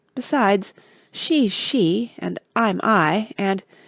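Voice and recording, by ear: The intonation rises and falls in a lively way. This is reading aloud in a natural voice.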